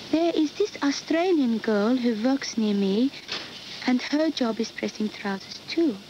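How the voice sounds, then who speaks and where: A woman's high voice with a Turkish accent, lively intonation and a fairly slow pace, over noticeable background noise. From Turkey. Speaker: factory worker. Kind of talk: documentary testimony.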